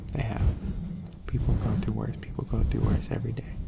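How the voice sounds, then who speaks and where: A man whispers, soft-spoken. Noticeable background noise sits behind him. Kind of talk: casual talk to camera, friend roleplay. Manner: whispered, soft-spoken.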